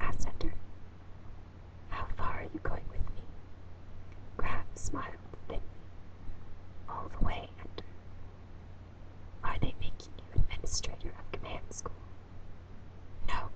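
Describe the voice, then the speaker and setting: Whispering at a moderate pace, with long, frequent pauses and noticeable background noise. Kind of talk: audiobook reading, whispered. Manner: whispered.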